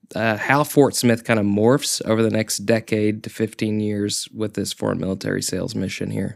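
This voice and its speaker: The recording is very clean with a silent background. A man with a fairly low pitch speaks at a moderate pace with fairly even intonation. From Oklahoma, near Tulsa. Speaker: city public relations manager. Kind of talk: casual interview chat.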